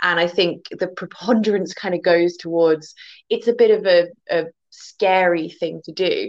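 With an English accent, a woman speaks at a moderate pace in a fairly low pitch with fairly even intonation. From England, near the Welsh border. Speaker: guest, folklore and fairy lore speaker. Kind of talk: casual chat.

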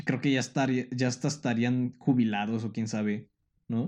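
With a Mexican accent, a man speaks at a medium pitch and a fairly slow pace. His intonation stays fairly even. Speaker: podcast host. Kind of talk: scripted narration; casual chat. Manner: halting.

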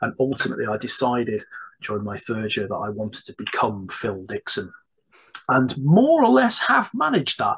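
A man talks at a moderate pace with a medium pitch and big pitch swings. His voice has a fairly bright tone, a husky, rough edge and vocal fry.

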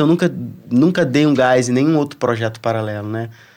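On a very clean recording with a silent background, a man with a plain, everyday voice talks at a fairly quick pace with ordinary pitch variation. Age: 40s. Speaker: surfer and reggae musician. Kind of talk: casual chat.

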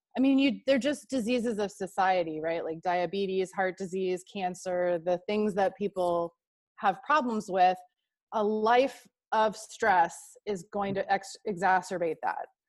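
A woman with an American accent and an unremarkable speaking voice speaks at medium pitch and a fairly slow pace against a quiet background. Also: ordinary pitch variation. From Texas. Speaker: marketing strategist and yoga teacher. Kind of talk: interview.

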